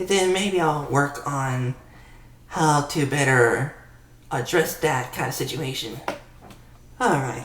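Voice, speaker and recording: The speech comes at a very slow pace with long, frequent pauses, and there is noticeable background noise. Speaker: gaming YouTuber. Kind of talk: casual talk to camera.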